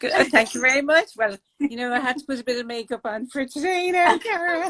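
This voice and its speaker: In an Irish accent, a woman speaks very fast at a high pitch with lively intonation. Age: 60s. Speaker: artist and project founder. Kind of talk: interview.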